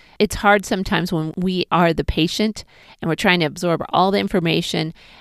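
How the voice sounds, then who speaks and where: In a very clean recording with a silent background and a dry, close sound with no echo, a woman speaks fairly quickly at a medium pitch in an ordinary speaking voice. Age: 40s. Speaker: pelvic floor physical therapist. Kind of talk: personal health vlog monologue.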